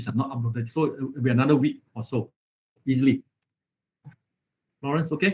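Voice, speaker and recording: A somewhat breathy man's voice with ordinary pitch variation, a fairly quick pace and long, frequent pauses. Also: medium pitch for a man. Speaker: university lecturer. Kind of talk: online lecture. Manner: halting, many fillers.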